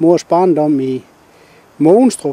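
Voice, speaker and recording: Very slow male speech, high in pitch and dark and mellow in tone. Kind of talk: interview questions.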